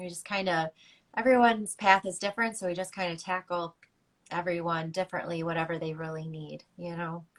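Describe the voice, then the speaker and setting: Speaking fairly quickly with an American accent, a woman keeps a fairly even intonation while her loudness swings widely. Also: fairly low pitch for a woman. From Chicago. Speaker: breathwork and meditation teacher. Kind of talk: casual chat. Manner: warm.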